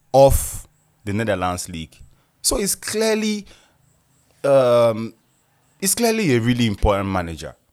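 A medium-pitched man with a Nigerian accent speaks at a fairly slow pace in an animated tone with lively intonation. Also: long, frequent pauses, big swings in loudness, very clean recording, silent background. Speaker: football podcast host. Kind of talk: casual solo commentary.

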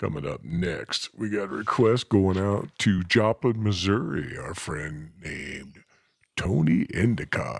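Vocal fry runs through this fairly slow delivery, which has lively intonation and big swings in loudness. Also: man, very deep, low pitch for a man. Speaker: radio DJ. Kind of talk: radio DJ patter. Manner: folksy, breezy, warm; animated.

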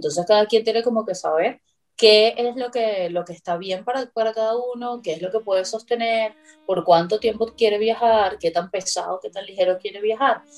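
A woman with a fairly high pitch talks at a moderate pace in an unremarkable speaking voice with ordinary pitch variation. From Venezuela. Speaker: psychologist and traveler. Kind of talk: interview.

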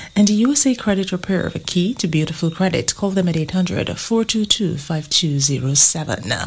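Over noticeable background noise, a woman talks at a fairly slow pace and a fairly low pitch, her intonation lively. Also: hardly any pauses. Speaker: newsreader. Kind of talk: news reading.

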